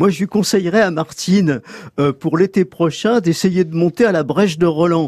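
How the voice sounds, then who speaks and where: Here a man speaks with a high pitch and ordinary pitch variation, at a moderate pace. The recording is dry and close with no echo, over a quiet background. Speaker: magazine editor, mountain expert. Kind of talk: radio interview. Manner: hesitant, fillers.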